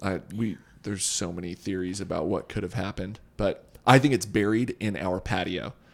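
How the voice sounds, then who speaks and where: In a very clean recording with a silent background, a man with a plain, everyday voice speaks at a moderate pace, his pitch fairly low with ordinary variation. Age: 20s. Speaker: podcast host. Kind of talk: scripted monologue; casual chat.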